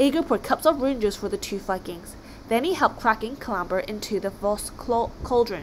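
The clip features a natural reading voice.

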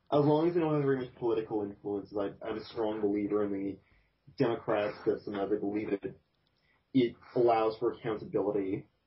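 A man talks at a fairly quick pace with a fairly low pitch. His voice is somewhat breathy, with ordinary pitch variation. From Canada. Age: 20s. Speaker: podcast host. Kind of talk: casual chat.

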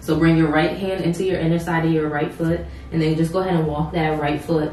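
Audible room echo and light background noise surround a woman speaking. Her very deep, low pitch follows a fairly even intonation. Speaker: yoga instructor. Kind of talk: yoga class instruction. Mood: calm, soothing. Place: home room.

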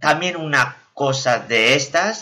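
A man puts on a character voice, fairly high-pitched, with a bright, sharp tone. He speaks slowly with lively intonation.

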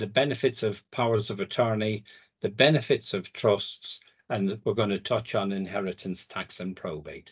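In a British accent, a man talks at a moderate pace with ordinary pitch variation. The background is quiet. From UK. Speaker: legal firm founder. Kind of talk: presentation. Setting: video call. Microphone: video call.

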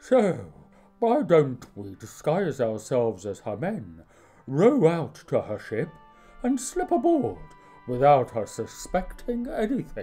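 Faint music plays behind a cartoonish character voice of middle pitch, delivered at a fairly slow pace. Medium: puppet show. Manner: courteous, mock-archaic.

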